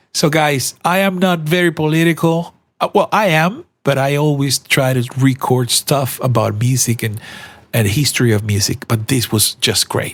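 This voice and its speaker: A man's somewhat breathy, fairly high voice with a Spanish accent, lively intonation, very even loudness and a moderate pace. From Colombia. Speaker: podcaster. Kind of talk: casual commentary monologue. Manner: halting, with frequent repetitions and fillers.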